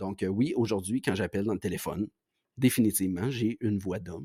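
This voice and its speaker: A man's dark, mellow tone comes through a dry, close sound with no echo in a very clean recording with a silent background. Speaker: podcast host. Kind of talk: monologue podcast. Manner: halting.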